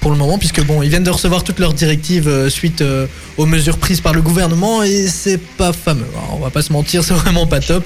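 Over noticeable background noise, a man speaks fairly quickly in a fairly high pitch with very even loudness. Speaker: student radio host. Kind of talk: casual radio show. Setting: video call. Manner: animated.

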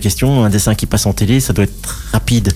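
Speech comes at a fairly quick pace in a dark, mellow tone. Its pitch varies in an ordinary way. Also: man. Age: 50s. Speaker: cartoonist. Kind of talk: radio interview.

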